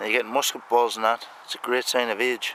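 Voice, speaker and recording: A man speaks at a medium pitch and a moderate pace. Background noise is noticeable. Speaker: metal detectorist. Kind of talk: outdoor hobby commentary. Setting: outdoors on a farm. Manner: mumbling.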